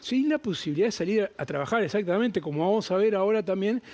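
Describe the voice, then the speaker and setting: With lively intonation, a man talks in a high-pitched voice. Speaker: TV presenter. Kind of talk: TV news segment.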